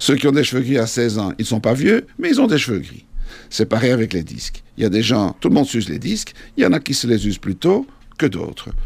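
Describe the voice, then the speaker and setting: A man speaks at a medium pitch in a normal speaking voice. His intonation is lively. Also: fairly quick pace. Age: 50s. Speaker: orthopedic surgeon. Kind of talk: explanatory interview.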